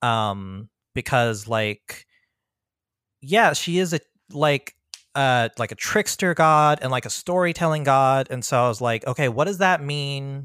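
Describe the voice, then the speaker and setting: Someone with a plain, everyday voice speaks in an American accent with lively intonation. The sound is dry and close with no echo, and the recording is very clean with a silent background. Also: man, fairly high pitch for a man, fairly slow pace. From US Mid-Atlantic (Prince George's County, Maryland). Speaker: freelance tabletop game writer. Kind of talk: casual interview.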